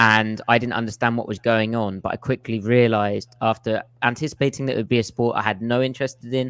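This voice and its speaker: Over a quiet background, a man with an English accent speaks at a medium pitch. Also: dry, close sound with no echo. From England. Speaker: football film analyst, podcaster. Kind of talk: casual podcast chat.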